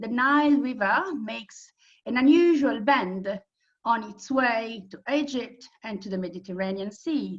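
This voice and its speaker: A woman with an Italian accent, fairly high pitch and lively intonation. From Italy. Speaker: tour operator presenter. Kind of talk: presentation.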